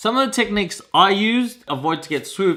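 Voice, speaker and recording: Lively in intonation, a man with an Australian accent speaks in a bright, sharp tone. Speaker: vlogger. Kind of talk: casual vlog monologue. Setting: outdoors. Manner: animated.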